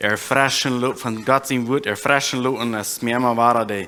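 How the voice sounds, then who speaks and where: A man speaks with a bright, sharp tone at a medium pitch. His intonation stays monotone and flat. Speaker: preacher. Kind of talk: sermon.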